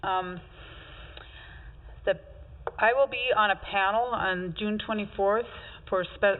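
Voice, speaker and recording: A woman speaks with ordinary pitch variation. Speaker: city administrator. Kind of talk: staff report at public meeting. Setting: city commission meeting room. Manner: fast.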